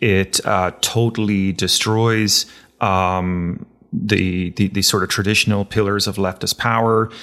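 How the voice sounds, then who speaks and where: A man with an Irish accent speaks at a fairly slow pace in a fairly low pitch, with monotone, flat intonation and very even loudness. The recording is very clean, with a silent background. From Ireland. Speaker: podcast host. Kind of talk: interview. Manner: halting, many fillers.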